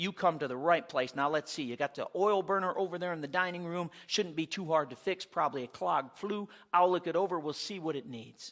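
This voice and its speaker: Putting on a gruff character voice, a man talks fairly quickly at a high pitch with ordinary pitch variation and hardly any pauses. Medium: read story. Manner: gruff, grumbling.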